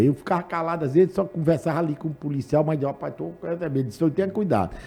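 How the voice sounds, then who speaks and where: This man talks at a very fast pace in a fairly high pitch. His tone is dark and mellow. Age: 70s. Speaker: public agency director, former politician. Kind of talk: casual chat.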